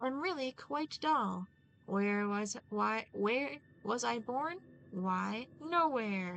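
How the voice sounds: Lively intonation in a natural reading voice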